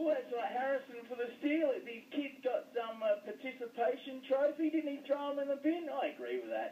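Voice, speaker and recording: Speaking fairly quickly with an Australian accent, a man uses an extremely high pitch. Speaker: sports pundit. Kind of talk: casual chat.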